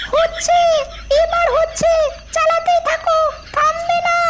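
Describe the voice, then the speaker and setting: A woman puts on a squeaky, cartoonish character voice at an extremely high pitch. She speaks at a fairly slow pace. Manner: sarcastic.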